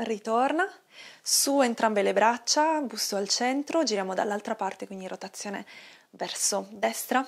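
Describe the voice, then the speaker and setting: A woman speaks at a fairly slow pace with ordinary pitch variation. The background is quiet. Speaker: yoga instructor. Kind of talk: guided exercise instruction. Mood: calm, soothing. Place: home room.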